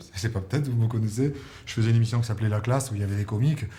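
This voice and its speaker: A man with a slight Marseille accent speaks at a fairly low pitch in a dark, mellow, somewhat breathy tone, with ordinary pitch variation. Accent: slight Marseille accent, toned down. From Marseille, southern France. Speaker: musical theatre singer and comedian. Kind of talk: interview.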